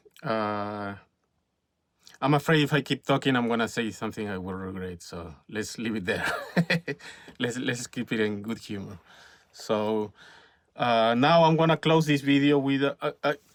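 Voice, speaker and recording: With a Spanish accent, a man talks at a moderate pace and medium pitch, using ordinary pitch variation and long, frequent pauses. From Peru. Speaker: filmmaker and YouTuber. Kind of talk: casual vlog monologue. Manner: halting, many fillers and repetitions.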